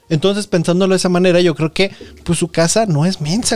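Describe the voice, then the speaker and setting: A man's high-pitched, animated voice in a Mexican accent, at a very fast pace. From Mexico, Nayarit. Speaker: podcast host. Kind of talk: casual chat.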